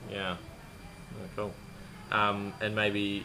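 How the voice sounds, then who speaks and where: The room echo is audible. It is a man who speaks. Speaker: podcast host and systemic designer. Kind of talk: interview. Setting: guest's home in Jakarta. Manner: casual.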